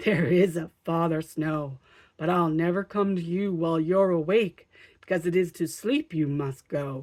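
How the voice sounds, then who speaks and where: A woman's put-on character voice, fairly low in pitch, with ordinary pitch variation at a moderate pace. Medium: read story. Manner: cheerful, chuckling.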